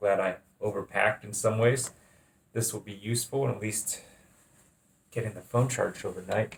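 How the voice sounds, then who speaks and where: Somewhat breathy and flat in intonation, a man speaks at medium pitch and a moderate pace, pausing long and often. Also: big swings in loudness. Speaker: travel vlogger. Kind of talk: casual vlog.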